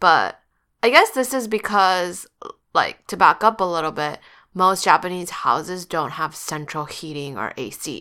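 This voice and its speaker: On a very clean recording with a silent background, a woman with a fairly low pitch and a bright, sharp tone speaks at a fairly slow pace, using lively intonation and big swings in loudness. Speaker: podcast co-host; English tutor. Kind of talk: casual chat.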